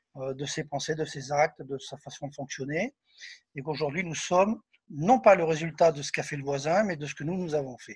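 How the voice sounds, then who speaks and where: Talking at a fairly quick pace, a man with a fairly high pitch sounds somewhat breathy, with ordinary pitch variation and big swings in loudness. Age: 60s. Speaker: spiritist medium and author. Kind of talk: interview. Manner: hesitant with fillers.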